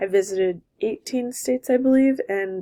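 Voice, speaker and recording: In a very clean recording with a silent background, a woman with a Californian accent speaks at a fairly slow pace with a dark, mellow tone and ordinary pitch variation. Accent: Californian American English. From Southern California. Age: 20s. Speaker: college graduate and former softball player. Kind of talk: personal video introduction.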